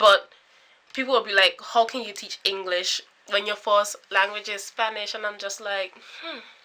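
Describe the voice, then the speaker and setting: Her tone is animated, with big swings in loudness at a moderate pace. Noticeable background noise runs behind the woman. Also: medium pitch for a woman. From British Virgin Islands. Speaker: YouTuber, former university student. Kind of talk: vlog monologue.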